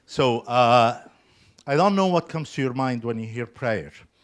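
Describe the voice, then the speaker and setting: A man speaks at a fairly slow pace with medium pitch and lively intonation. The recording is very clean with a silent background. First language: not English (English is his third language). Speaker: lay preacher. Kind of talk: sermon. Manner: hesitant, many fillers.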